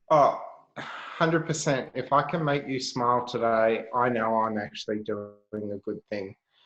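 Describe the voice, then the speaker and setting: This voice has an Australian accent, a moderate pace and ordinary pitch variation. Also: man, medium pitch for a man. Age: 30s. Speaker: health entrepreneur. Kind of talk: casual chat.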